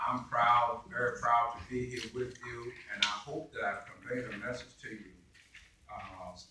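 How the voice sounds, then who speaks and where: Over noticeable background noise and audible room echo, a man speaks at a moderate pace and medium pitch. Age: 70s. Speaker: keynote speaker. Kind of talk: speech at a ceremony. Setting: library ceremony with audience. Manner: conversational.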